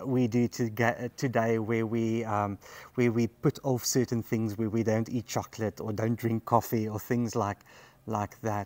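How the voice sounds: At a fairly slow pace, a man with a fairly low pitch speaks in a slightly mellow tone.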